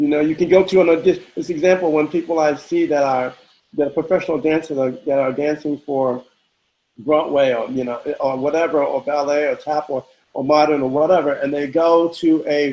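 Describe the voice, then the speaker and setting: Here a man speaks at a fairly quick pace with a fairly high pitch. His tone is dark and mellow, and his intonation fairly even. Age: 60s. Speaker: house dancer. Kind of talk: interview. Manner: halting, many repetitions.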